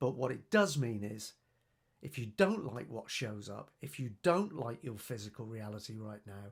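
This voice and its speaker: A man talks at a moderate pace with medium pitch and lively intonation, sounding somewhat breathy. The recording is very clean, with a silent background. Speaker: personal development coach and youtuber. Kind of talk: video monologue. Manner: animated.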